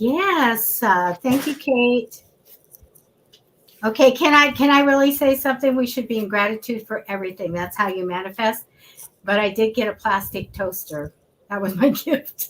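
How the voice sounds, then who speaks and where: A woman's fairly high, ordinary speaking voice, with lively intonation at a moderate pace. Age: 60s. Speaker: psychic reader, show host. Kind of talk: tarot reading. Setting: live stream.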